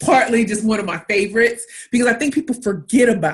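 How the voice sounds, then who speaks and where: A woman speaks with a high pitch. Her tone is animated. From US Midwest, inner-city St. Louis, Missouri. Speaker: pitch coach and entrepreneur. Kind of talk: webinar talk.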